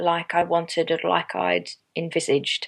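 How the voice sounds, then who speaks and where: Speaking fairly slowly, a woman with an Australian accent has a fairly low pitch. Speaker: yarn dyer and small business owner. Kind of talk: interview answer.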